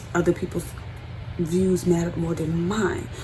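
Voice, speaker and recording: Through audible room echo and noticeable background noise, a woman speaks at a fairly slow pace. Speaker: beauty vlogger. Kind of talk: personal vlog monologue.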